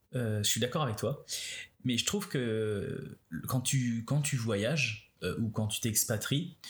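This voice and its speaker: On a very clean recording with a silent background, a somewhat breathy man of medium pitch talks very slowly with lively intonation, very even loudness and long, frequent pauses. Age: 30s. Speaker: podcast host. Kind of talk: casual chat. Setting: at home on a couch.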